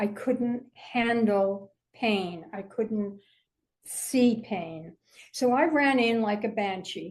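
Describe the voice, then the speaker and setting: The speaker talks at a very slow pace in a somewhat breathy voice with ordinary pitch variation. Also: woman. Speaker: author and mental health advocate. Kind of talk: interview. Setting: podcast. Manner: halting.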